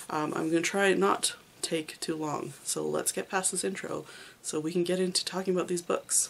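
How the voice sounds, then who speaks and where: Amid noticeable background noise, a woman speaks at a fairly low pitch and a moderate pace with ordinary pitch variation. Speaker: manga reviewer, video creator. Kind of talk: casual monologue, reading wrap-up. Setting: home, room full of manga shelves. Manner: hesitant, many fillers.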